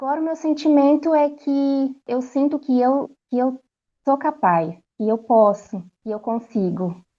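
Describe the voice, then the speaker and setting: This soft-spoken woman has a São Paulo accent and a high pitch. She talks at a fairly slow pace with lively intonation. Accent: Brazilian Portuguese, São Paulo. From Brazil, São Paulo. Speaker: language course student giving testimonial. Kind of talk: testimony. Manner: halting.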